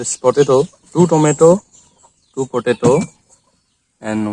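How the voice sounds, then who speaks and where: A man speaks with an Assam accent, leaving long, frequent pauses, and the sound is dry and close with no echo. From Assam, India. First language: Assamese. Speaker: cooking video vlogger. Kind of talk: cooking tutorial. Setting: outdoors at a bathing place. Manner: halting.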